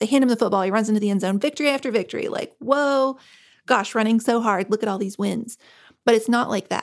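A woman with an American accent speaks at a fairly high pitch. The recording is very clean, with a silent background. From rural US, grew up in a trailer. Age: 40s. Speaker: author. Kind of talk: interview.

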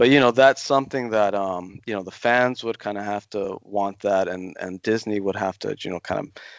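Moderately paced, an ordinary speaking voice from a man, fairly low in pitch with ordinary pitch variation. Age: 40s. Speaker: Star Wars writer. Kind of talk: interview.

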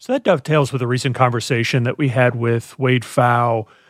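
Delivered in a monotone, flat intonation, the voice sounds dry and close with no echo in a very clean recording with a silent background. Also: man. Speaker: podcast co-host. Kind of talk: interview.

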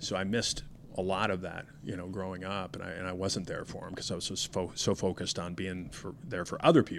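The speaker has an American accent. The pace is fairly quick and the intonation fairly even. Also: man, very deep, low pitch for a man. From Denver, Colorado. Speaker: retired police commander. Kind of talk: interview.

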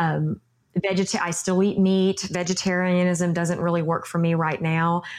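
A woman with a Texan accent, fairly low in pitch, monotone and flat, at a moderate pace with very even loudness. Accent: Texan accent, noticeable. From Texas. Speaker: yoga instructor and former beauty queen. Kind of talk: interview conversation.

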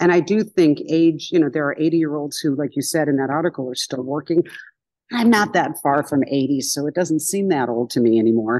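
Against a quiet background, a woman with a very deep, low pitch talks at a fairly quick pace with lively intonation. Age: 60s. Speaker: comedian.

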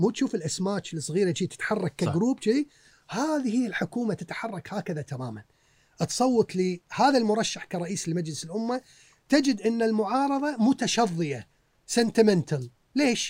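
A high-pitched man talks fairly slowly, his intonation lively. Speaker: historian and author. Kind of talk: casual interview. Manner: mixes English words into speech.

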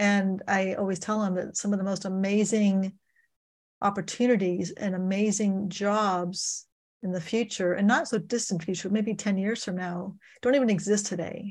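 In a very clean recording with a silent background, a woman speaks in a flat monotone at medium pitch, her voice somewhat breathy. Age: 60s. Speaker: financial coach and author. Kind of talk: interview. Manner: halting, with frequent repetitions.

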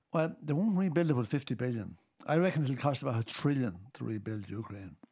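On a very clean recording with a silent background, a man speaks in an Irish accent at a moderate pace, his pitch swinging very widely. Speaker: politician. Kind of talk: casual chat.

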